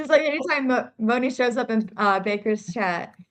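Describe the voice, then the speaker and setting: A woman with a slight Southern US accent and a high pitch speaks at a moderate pace with ordinary pitch variation. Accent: subtle Southern. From South Carolina. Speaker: true crime streamer. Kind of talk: casual chat.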